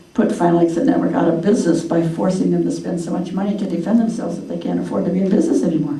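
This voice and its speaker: Audible room echo and noticeable background noise surround the speaker. The pitch varies in an ordinary way. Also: woman. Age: 80s+. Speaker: author and activist. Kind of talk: talk to a local group with Q&A. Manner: animated, informal.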